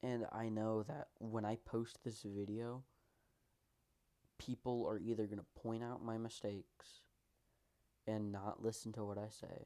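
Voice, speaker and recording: A man's medium-pitched, dark, mellow voice in a flat monotone, broken by long, frequent pauses. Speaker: vlogger. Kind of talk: personal monologue vlog. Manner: fast; halting, tripping over words.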